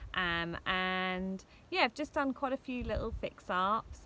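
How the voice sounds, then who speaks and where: A woman's bright, sharp tone at a moderate pace. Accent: English. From England, Hertfordshire (Hitchin). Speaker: vlogger, van traveller. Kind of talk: casual vlog talk to camera. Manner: hesitant fillers (um).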